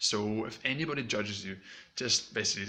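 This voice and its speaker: A fairly quick pace with ordinary pitch variation, over noticeable background noise. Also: man. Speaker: YouTube coach. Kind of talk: tutorial. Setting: home recording. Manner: mumbling when excited; casual, fast.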